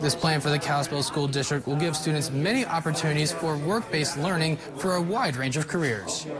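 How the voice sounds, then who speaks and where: Noticeable background noise sits behind the speech. It moves at a fairly quick pace with hardly any pauses, very even loudness and ordinary pitch variation. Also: man, fairly high pitch for a man. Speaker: TV news reporter. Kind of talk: TV news package narration.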